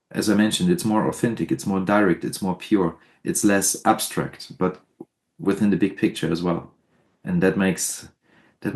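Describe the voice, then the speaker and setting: A man speaks with a German accent in a fairly low voice. His pace is moderate. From southern Germany. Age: 30s. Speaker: death metal musician. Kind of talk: interview. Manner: halting.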